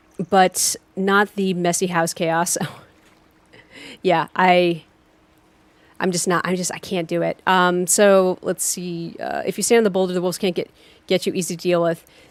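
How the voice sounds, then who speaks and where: The delivery is monotone and flat, with long, frequent pauses. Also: woman, fairly low pitch for a woman, moderate pace. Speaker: video game streamer. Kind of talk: live game stream chat. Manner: halting, many fillers; casual, chatty.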